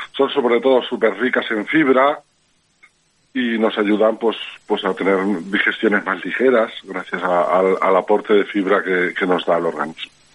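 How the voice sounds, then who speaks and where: A man with an ordinary speaking voice and fairly low pitch speaks at a moderate pace with ordinary pitch variation. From Alzira, Valencia, Spain. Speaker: edible flower grower, former cook. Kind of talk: interview.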